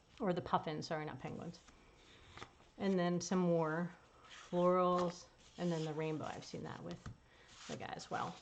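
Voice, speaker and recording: A woman speaks at a fairly low pitch with monotone, flat intonation. Her pauses are long and frequent, and her loudness swings widely. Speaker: paper crafting demonstrator and product seller. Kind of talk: live stream product demonstration. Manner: casual and chatty; fast.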